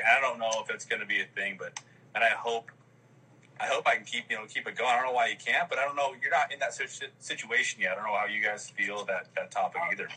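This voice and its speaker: A man rushes along at a very fast pace with noticeable background noise behind him. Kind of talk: casual live chat. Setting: video call.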